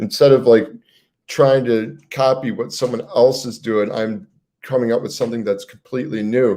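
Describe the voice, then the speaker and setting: This man has a dark, mellow tone and a medium pitch. He speaks at a moderate pace with ordinary pitch variation. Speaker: motivational YouTuber. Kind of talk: motivational talk on livestream. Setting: livestream. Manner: casual, filler-heavy; stumbling, self-correcting.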